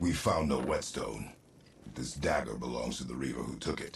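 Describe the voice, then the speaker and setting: In a raspy, put-on character voice, a man speaks at a moderate pace with a very deep, low pitch. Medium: video game. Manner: terse, gruff.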